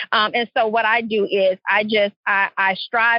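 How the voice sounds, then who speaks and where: In a Louisiana accent, a woman speaks at a medium pitch and a fairly slow pace with fairly even intonation. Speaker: clarity coach and entrepreneur. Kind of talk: podcast interview.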